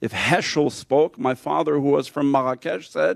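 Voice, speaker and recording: A dry, close sound with no echo carries speech at a moderate pace. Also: man. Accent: Californian. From Los Angeles, California, US. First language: French. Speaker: rabbi. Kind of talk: conference panel talk. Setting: conference panel with audience.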